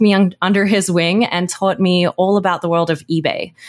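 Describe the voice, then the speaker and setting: This woman speaks with an Australian accent at a medium pitch. Her pace is fairly quick. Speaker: entrepreneur and YouTube educator. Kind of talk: interview.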